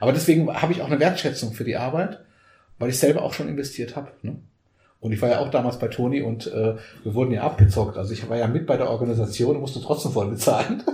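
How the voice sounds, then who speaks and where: Very fast in pace, the somewhat breathy voice has a dark, mellow tone and ordinary pitch variation, with audible room echo around it. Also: man, medium pitch for a man. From Germany, raised from age 3.5; Portuguese-born. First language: Portuguese (speaking German). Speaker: coach and trainer. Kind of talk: casual interview.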